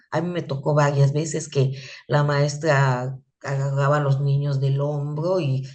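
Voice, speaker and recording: A woman's very deep, low, somewhat breathy voice at a fairly slow pace, with audible room echo. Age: 60s. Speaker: teacher. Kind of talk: lecture. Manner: animated; halting.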